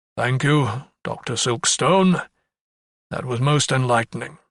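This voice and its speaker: Using a put-on character voice, a man speaks at a fairly slow pace in a medium pitch with ordinary pitch variation. The sound is dry and close, with no echo. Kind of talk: courtroom speech. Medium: read story. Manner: formal, measured.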